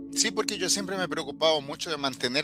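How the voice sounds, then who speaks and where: With music in the background, a man talks at a fairly quick pace in a Chilean accent. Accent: Chilean Spanish accent kept. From Brazil, São Paulo, Chilean family. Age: 40s. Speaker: interviewee, language speaker. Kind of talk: casual chat.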